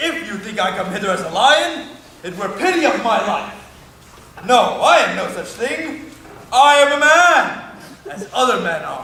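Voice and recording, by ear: Putting on a character voice, a man goes high in pitch with big pitch swings, a bright, sharp tone and vocal fry, speaking at a fairly slow pace amid strong room echo.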